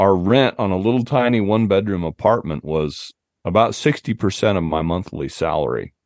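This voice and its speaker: With an American accent and an unremarkable speaking voice, a man talks at a fairly quick pace, with fairly low pitch and lively intonation. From US West, southern Utah. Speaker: outdoor writer and hunting podcast host. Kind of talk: casual interview chat.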